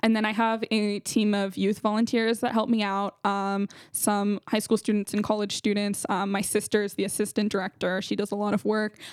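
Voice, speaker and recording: On a very clean, dry, close recording with a silent background and no echo, a woman with a Californian accent speaks at a medium pitch in monotone, flat intonation. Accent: Californian American English. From California, San Jose. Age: young. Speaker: founder of a youth business program, college student. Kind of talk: casual interview.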